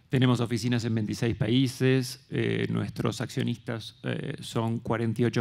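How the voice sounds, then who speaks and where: A man talks with vocal fry against a quiet background. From Argentina. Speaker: development bank investment officer; speaker. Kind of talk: conference panel talk. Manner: halting, with repetitions. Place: stage. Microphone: handheld.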